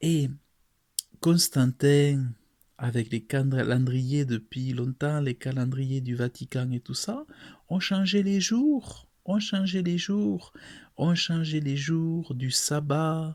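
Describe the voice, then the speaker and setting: A somewhat breathy man with a fairly high pitch and ordinary pitch variation at a very slow pace, on a very clean recording with a silent background. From France. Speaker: preacher. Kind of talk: sermon to camera.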